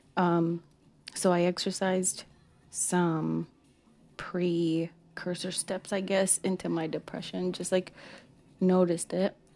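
Music plays in the background as a woman speaks at a very slow pace in a monotone, flat intonation, with long, frequent pauses. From Mexico or Mexican-American. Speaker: podcast host. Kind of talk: casual monologue. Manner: casual, many fillers.

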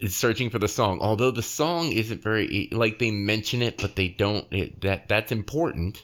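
A man with an unremarkable speaking voice talks with hardly any pauses. His pitch is fairly low, with ordinary pitch variation. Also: moderate pace, very even loudness. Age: 40s. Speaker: podcast host. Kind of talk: casual chat.

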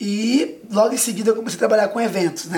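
A woman speaks with a fairly high pitch. Noticeable background noise sits behind her. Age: 20s. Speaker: actor and children's entertainer. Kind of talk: casual interview. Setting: TV studio.

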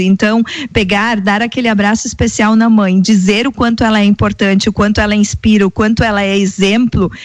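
Here a woman uses an ordinary speaking voice at a fairly high pitch. She talks at a fairly quick pace with very even loudness. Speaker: radio co-host. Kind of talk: live radio show. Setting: radio studio.

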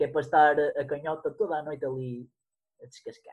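This man has a fairly high pitch and a normal speaking voice, talking at a moderate pace. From northern Portugal, Guimarães area. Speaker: podcaster. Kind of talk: casual chat.

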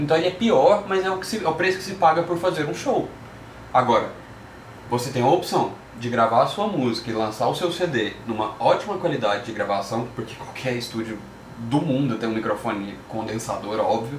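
Over noticeable background noise, a man's medium-pitched voice moves through very wide pitch swings. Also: moderate pace. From Goiânia, Brazil. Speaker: music podcast host. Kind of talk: casual chat. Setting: live stream.

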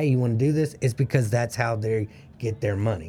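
A man's somewhat breathy voice, dark and mellow in tone, medium in pitch with ordinary pitch variation, at a fairly quick pace. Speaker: co-host. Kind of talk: casual interview chat.

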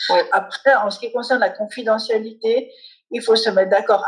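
A woman with an ordinary speaking voice and fairly even intonation. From Switzerland. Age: 40s. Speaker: family lawyer and mediator. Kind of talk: interview.

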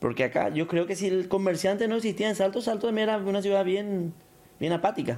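This man talks very fast in a high voice, keeping his loudness very even throughout. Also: ordinary pitch variation. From Paraguay, Canindeyú border region. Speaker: businessman. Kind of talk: casual interview.

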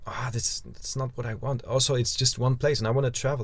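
A somewhat breathy man with a non-native accent speaks at medium pitch and a moderate pace. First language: not English. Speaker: podcast host, van traveller. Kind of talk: casual chat. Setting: inside a parked van. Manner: halting, many repetitions.

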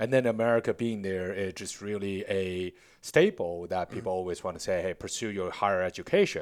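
A man with a Chinese accent talks at a fairly quick pace and a fairly low pitch, with ordinary pitch variation. The recording is very clean, with a silent background. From China, Beijing. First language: Mandarin Chinese. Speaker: tech startup founder and CEO. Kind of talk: interview.

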